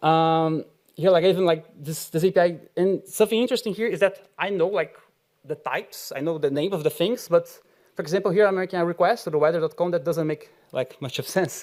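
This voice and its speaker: Speaking with a Brazilian accent, a man has a high pitch. His pace is fairly quick and his pitch varies in an ordinary way. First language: Portuguese. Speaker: software engineer, conference speaker. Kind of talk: conference talk. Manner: halting, many fillers.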